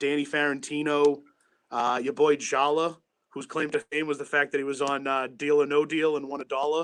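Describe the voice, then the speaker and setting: Against a quiet background, a man with a Boston accent speaks at a fairly quick pace and fairly high pitch, his intonation monotone and flat. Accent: thick Boston. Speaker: sports radio producer. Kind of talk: casual chat.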